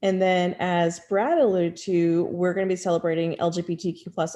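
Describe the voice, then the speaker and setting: Over a quiet background, a woman with an American accent speaks in a fairly low pitch with a dark, mellow tone. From outside the US South. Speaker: university pride center staff member. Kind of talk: online panel presentation. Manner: fast.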